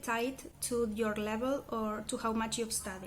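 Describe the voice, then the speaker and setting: In a Spanish accent, a woman speaks at a moderate pace. Her intonation is monotone and flat. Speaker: language learner vlogger. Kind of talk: casual vlog monologue. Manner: hesitant with fillers and self-corrections.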